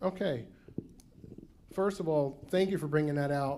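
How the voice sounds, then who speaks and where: Audible room echo around a man with an American accent, fairly high pitch and a dark, mellow tone. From New Jersey. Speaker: state program representative. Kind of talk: conference Q&A. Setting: conference room with audience.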